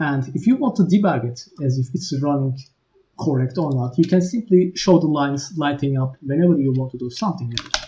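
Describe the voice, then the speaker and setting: With a non-native accent, a man speaks at a fairly quick pace. His pitch is fairly high, with ordinary variation. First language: not English. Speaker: game engine developer. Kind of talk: tutorial.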